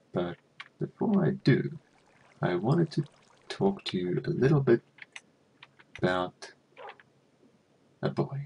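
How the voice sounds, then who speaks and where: A soft-spoken man at a fairly high pitch, with a dark, mellow tone, vocal fry, very wide pitch swings, a fairly slow pace, and long, frequent pauses. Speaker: gaming youtuber. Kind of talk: casual commentary.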